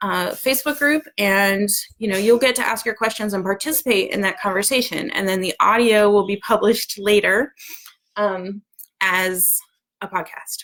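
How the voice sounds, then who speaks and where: A woman talks at a moderate pace in a medium pitch, with ordinary pitch variation. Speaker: homeschool community organizer. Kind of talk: live video announcement. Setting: live video at home. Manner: animated.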